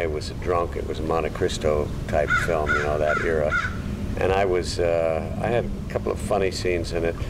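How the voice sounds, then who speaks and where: A man speaks over noticeable background noise. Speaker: actor recalling his career. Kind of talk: interview answer. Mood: reminiscent, amused. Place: garden.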